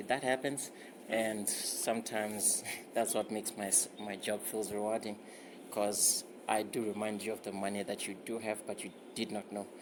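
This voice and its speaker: A man with a fairly low pitch speaks against noticeable background noise. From South Africa. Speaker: financial advisor. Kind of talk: phone call with a client.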